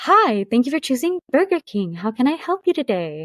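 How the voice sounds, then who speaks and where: Using a put-on character voice, this female-sounding speaker talks at a high pitch with very wide pitch swings. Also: moderate pace. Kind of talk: customer service. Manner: sweet, cheerful.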